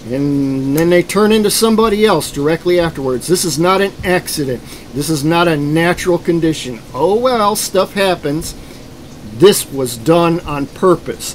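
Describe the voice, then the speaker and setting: Noticeable background noise sits behind a man speaking at a moderate pace with a high pitch and lively intonation. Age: 60s. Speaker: self-described program survivor. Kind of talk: testimony.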